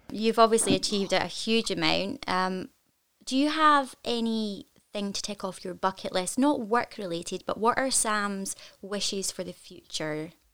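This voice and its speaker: A woman speaks in a Scottish accent at medium pitch. Her intonation is lively and her pace moderate. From Scotland. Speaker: podcast host and actor. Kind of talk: interview. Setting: video call.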